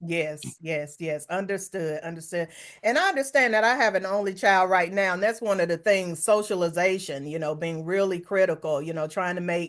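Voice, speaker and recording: A woman with a North Carolina accent speaks at a moderate pace and medium pitch, with ordinary pitch variation and hardly any pauses. Noticeable background noise is present. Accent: Southern US (North Carolina). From US South, Hickory, North Carolina. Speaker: podcast host. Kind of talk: interview conversation; reading an introduction.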